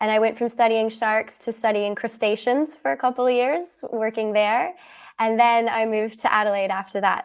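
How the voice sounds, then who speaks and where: A woman with a Canadian accent talks at a moderate pace in a fairly high pitch, a normal speaking voice, on a very clean recording with a silent background. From Canada, Halifax, Nova Scotia. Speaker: ecologist. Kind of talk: interview.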